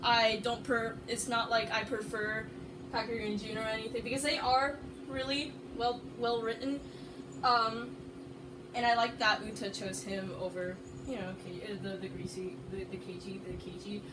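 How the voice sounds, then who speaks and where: A woman with an American accent and a fairly high pitch talks at a moderate pace with ordinary pitch variation, amid audible room echo and noticeable background noise. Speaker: anime video essayist. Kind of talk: casual video presentation. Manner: loud; halting, many fillers.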